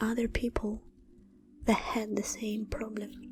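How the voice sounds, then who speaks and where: Over background music, a woman speaks very slowly with fairly even intonation. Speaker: meditation guide. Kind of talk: guided meditation. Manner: whispered.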